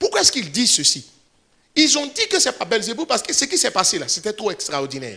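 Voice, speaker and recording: The voice is raised and projected, with a bright, sharp, animated tone. It moves at a fairly quick pace through very wide pitch swings. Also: man. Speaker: pastor. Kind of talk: sermon. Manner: fast.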